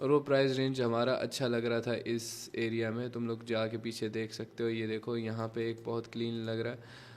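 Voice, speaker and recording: This man speaks at a moderate pace with a medium pitch. His intonation is monotone and flat. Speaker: trading educator. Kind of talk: tutorial. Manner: casual.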